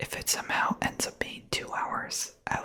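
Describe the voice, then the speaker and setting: Whispering over noticeable background noise. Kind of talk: ASMR whispered rambling. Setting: close studio microphone. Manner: whispered, soft-spoken.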